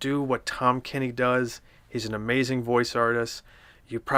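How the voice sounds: Reading done in a natural voice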